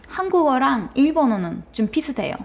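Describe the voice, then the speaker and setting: In a Turkish accent, a woman speaks with very wide pitch swings. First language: Turkish (speaking Korean). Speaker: university student. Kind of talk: casual chat. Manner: halting.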